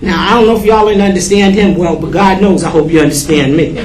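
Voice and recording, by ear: The speech moves at a fast pace with ordinary pitch variation. Room echo is audible. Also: woman, fairly low pitch for a woman.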